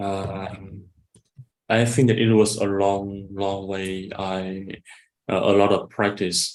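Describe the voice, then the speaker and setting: A man speaks very slowly in a fairly low, monotone voice with flat intonation, leaving long, frequent pauses. Room echo is audible. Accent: Vietnamese. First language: Vietnamese. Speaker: English teacher and bank employee. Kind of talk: casual chat. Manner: halting.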